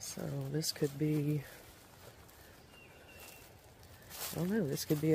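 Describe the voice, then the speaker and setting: There is light background noise. The sound is dry, with no echo. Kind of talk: casual vlog commentary. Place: open country. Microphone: phone near.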